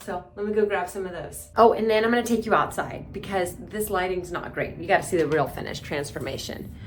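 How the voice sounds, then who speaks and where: A woman is speaking with ordinary pitch variation. There is audible room echo. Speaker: beauty vlogger. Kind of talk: vlog voice-over. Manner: soft-spoken.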